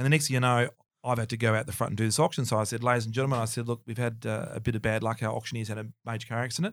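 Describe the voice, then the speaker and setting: Over a very clean recording with a silent background, a man with an Australian accent talks at a very fast pace, his medium-pitched voice holding fairly even intonation. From Melbourne, Australia. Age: 50s. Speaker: auctioneer. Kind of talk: casual interview chat, storytelling.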